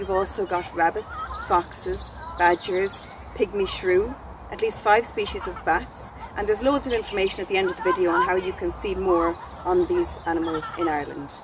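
Loud background noise accompanies a woman talking at a moderate pace, the sound dry with no echo. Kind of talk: educational talk to camera. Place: forest.

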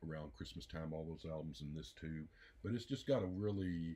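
The man's voice is pitched very deep and low. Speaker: music reviewer. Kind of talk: casual album review chat. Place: home room. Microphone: phone near.

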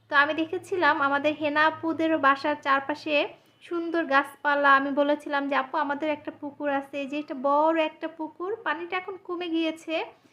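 Bright and sharp in tone, a woman's voice is raised and projected at a high pitch. Her intonation is monotone and flat. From Bangladesh, Faridpur. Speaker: family vlogger. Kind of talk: vlog narration.

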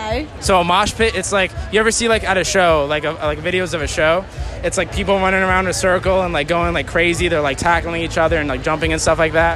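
A man's very fast speech with fairly even intonation, a dry sound with no echo and faint music in the background. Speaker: costumed street interviewer. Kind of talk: comedic street interview. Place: stadium. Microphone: phone near.

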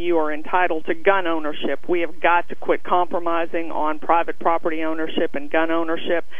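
The voice moves at a moderate pace in a dry recording with no echo. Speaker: candidate. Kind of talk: interview answer.

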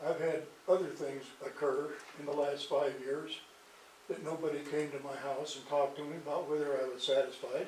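A man with an American accent talks at a moderate pace and a fairly high pitch in a flat monotone, with big swings in loudness. Audible room echo and noticeable background noise surround him. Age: 80s+. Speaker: resident speaking at council meeting. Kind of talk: public comment. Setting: city council meeting.

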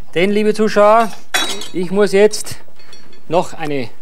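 The voice belongs to a man. His pitch shows ordinary variation. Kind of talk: cooking show tutorial. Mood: jovial, teasing. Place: studio.

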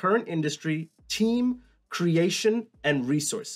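The man's pitch swings very widely as he talks. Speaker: educational YouTuber. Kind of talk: tutorial. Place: home room.

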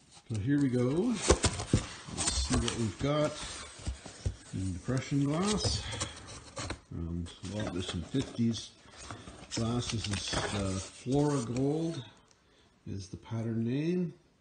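Loud background noise runs under a man who speaks at a very slow pace with long, frequent pauses. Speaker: reseller showing finds. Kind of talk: casual vlog chat. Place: garage. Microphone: phone near.

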